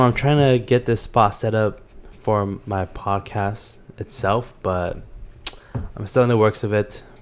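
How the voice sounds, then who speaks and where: A man talks in an ordinary speaking voice at a fairly low pitch. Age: young. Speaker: podcast host. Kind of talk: casual chat. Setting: home living room.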